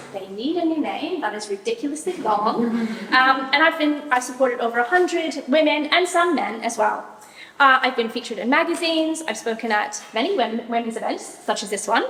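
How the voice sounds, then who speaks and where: Loud and high-pitched, a woman speaks at a fairly quick pace with lively intonation over noticeable background noise. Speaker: ADHD mentor and professional organizer. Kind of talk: talk to a live audience.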